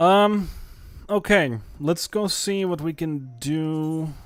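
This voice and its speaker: A man talks at a very slow pace in a fairly high pitch. Music plays in the background. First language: not English. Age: 30s. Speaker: video game streamer. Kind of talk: casual live gaming stream chat.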